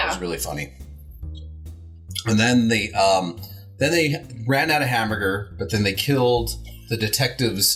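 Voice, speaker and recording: Over music in the background, the speaker uses lively intonation at a moderate pace, with long, frequent pauses. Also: man, fairly low pitch for a man. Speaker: horror movie host. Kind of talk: casual movie discussion on a horror host show.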